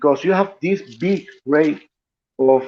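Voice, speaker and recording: Fairly high pitch from a man at a fairly slow pace, with ordinary pitch variation. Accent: Spanish. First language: Spanish. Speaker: political commentator. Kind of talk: live stream panel discussion. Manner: halting, repeats words.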